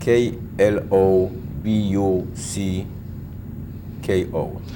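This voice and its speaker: In a room with audible echo and noticeable background noise, a man speaks with a very deep, low voice. His pace is very slow and his intonation fairly even. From Poland. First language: Polish. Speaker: Holocaust survivor. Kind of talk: oral history interview.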